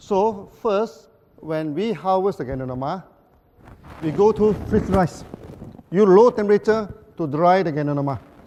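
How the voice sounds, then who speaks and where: Against noticeable background noise, a man with a high pitch speaks with long, frequent pauses. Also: ordinary pitch variation. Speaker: company founder giving a presentation. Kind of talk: conference presentation. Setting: stage with audience, interpreted. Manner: fast; repetitive, halting.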